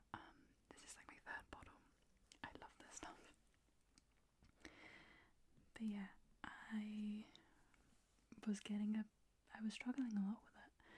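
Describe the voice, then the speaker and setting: A woman whispers at a very slow pace, with long, frequent pauses. Her loudness swings widely. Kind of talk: ASMR ramble, skincare and chatting to camera. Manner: soft-spoken, whispered.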